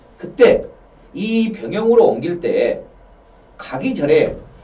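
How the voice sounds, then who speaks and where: Audible room echo surrounds this man's voice. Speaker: local history lecturer. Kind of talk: lecture. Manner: fast.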